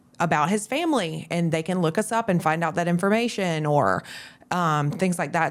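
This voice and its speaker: With a Southern US accent, a woman speaks at a moderate pace in a fairly low pitch, using ordinary pitch variation. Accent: Southern twang. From US South, Florida Panhandle. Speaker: real estate agent. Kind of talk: podcast interview. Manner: conversational.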